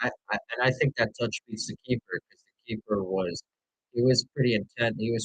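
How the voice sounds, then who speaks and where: Lively intonation marks a man's medium-pitched voice as he speaks at a moderate pace. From New York. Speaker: sports streamer. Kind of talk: live commentary. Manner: animated; loud.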